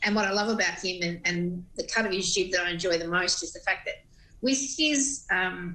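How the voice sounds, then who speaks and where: A woman's medium-pitched voice with a bright, sharp tone, ordinary pitch variation and a moderate pace. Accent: Australian. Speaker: radio presenter. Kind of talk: TV interview.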